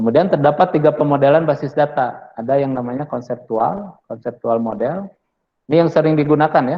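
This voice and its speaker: Ordinary variation marks the pitch. The voice belongs to a man. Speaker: university lecturer. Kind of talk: lecture. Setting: classroom with online students. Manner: casual, with many fillers.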